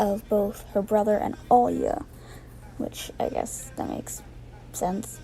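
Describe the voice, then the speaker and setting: The speech is quiet and comes at a fairly slow pace. Music plays in the background. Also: woman. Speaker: artist voicing over a speedpaint. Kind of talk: casual voiceover commentary. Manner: stuttering. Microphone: poor audio.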